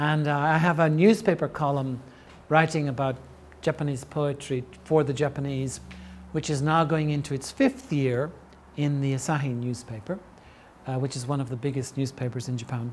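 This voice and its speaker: In light background noise, a man with a fairly high, somewhat breathy voice speaks at a moderate pace with fairly even intonation. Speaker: translator and poet giving a lecture; poet giving a lecture. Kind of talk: lecture. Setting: lecture hall with audience. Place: classroom.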